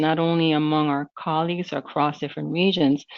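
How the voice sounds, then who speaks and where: A woman with a Spanish accent talks at a fairly quick pace, her pitch varying in an ordinary way. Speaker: corporate language program manager. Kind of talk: webinar presentation. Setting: webinar streamed online.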